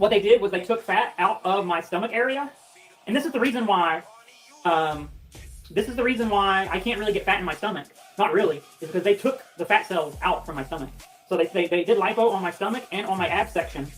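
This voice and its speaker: Music is heard in the background. Over it, a woman speaks at a very fast pace. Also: medium pitch for a woman, ordinary pitch variation. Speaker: livestreamer. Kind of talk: casual chat.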